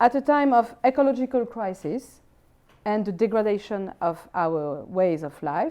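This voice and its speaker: With a French accent, a woman speaks at a moderate pace in a fairly high, dark and mellow voice that makes very wide pitch swings. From France. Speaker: philosopher. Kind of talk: lecture. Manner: formal.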